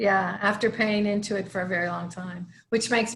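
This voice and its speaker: A woman with an American accent has a plain, everyday voice. She talks at a moderate pace with ordinary pitch variation. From northern US. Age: 60s. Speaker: hospice chaplain, former attorney. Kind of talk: casual online town hall discussion.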